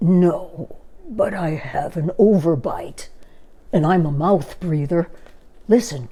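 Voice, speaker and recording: In a put-on character voice, raspy and at middle pitch, the speaker goes at a fairly slow pace with long, frequent pauses. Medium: read story.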